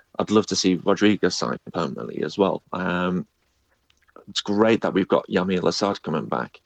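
This man's voice is very deep and low, with vocal fry and ordinary pitch variation. He keeps a moderate pace, and the sound is dry and close with no echo. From northeast England. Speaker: podcaster and D.C. United fan. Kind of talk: casual interview chat.

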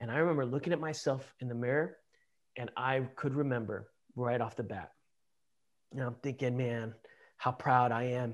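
In a medium pitch and with fairly even intonation, a man speaks at a moderate pace with an American accent over a quiet background. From Los Angeles, US. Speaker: war veteran. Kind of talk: interview. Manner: halting.

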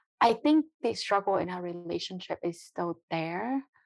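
In a quiet background with a dry, close sound and no echo, a woman talks at a moderate pace and medium pitch with lively intonation. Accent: Vietnamese. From Vietnam. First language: Vietnamese. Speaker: biotech entrepreneur. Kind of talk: interview.

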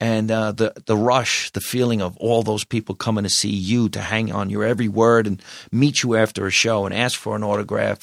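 A man at medium pitch in a New Jersey accent, fairly even in intonation, with a dry, close sound, no echo and a silent background in a very clean recording. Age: 50s. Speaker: comedian. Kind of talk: casual chat.

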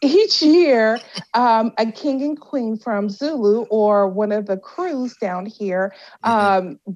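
The delivery is very slow, with lively intonation. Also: woman. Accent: American. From Washington D.C. and Louisiana. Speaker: cannabis entrepreneur and CEO. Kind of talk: interview.

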